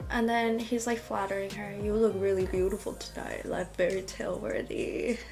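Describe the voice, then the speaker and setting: Music plays in the background and the room echo is audible. A woman talks at a moderate pace with hardly any pauses. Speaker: fanfiction reader and commentator. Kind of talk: reading aloud with casual commentary. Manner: halting, with stutters and fillers.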